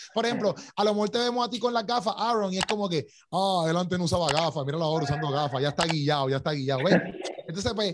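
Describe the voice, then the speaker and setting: Over noticeable background noise, the speaker goes very fast in an animated tone with big swings in loudness. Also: man, high pitch for a man, lively intonation. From Puerto Rico. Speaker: podcast host. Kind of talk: casual interview.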